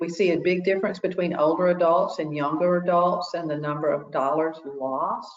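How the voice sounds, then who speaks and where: A woman's unremarkable speaking voice, fairly low in pitch, with fairly even intonation. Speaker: consumer protection educator. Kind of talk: webinar presentation.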